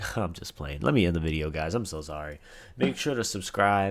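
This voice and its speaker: Lively intonation from a man in a normal speaking voice at a fairly quick pace, on a very clean recording with a silent background. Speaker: streamer reacting to video. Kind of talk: casual reaction commentary. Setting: live stream recording.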